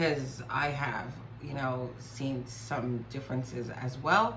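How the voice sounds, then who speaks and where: A woman speaks at a very deep, low pitch with fairly even intonation. Audible room echo and noticeable background noise accompany her. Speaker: spiritual YouTuber. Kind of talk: personal vlog testimony.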